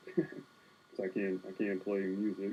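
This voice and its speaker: A man's dark, mellow, relaxed tone at a fairly low pitch, fairly slow in pace with fairly even intonation. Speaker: art livestreamer. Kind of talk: casual livestream chat while sketching. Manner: relaxed, laid back.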